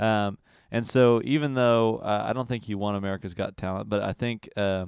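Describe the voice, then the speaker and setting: Against a quiet background, in a dry, close sound with no echo, a man with an unremarkable speaking voice talks at fairly low pitch with fairly even intonation. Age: 20s. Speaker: podcast host and musician. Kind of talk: casual chat.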